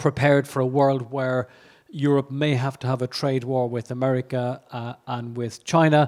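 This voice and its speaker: Here a man speaks in an Irish accent with a fairly high pitch. His intonation stays monotone and flat. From Ireland. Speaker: economist. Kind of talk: conference keynote. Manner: halting, many fillers and repetitions.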